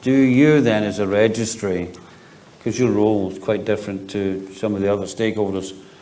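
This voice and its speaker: A man speaks at a fairly low pitch with fairly even intonation. The recording has audible room echo and noticeable background noise. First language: not English. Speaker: panel moderator. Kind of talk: panel moderation.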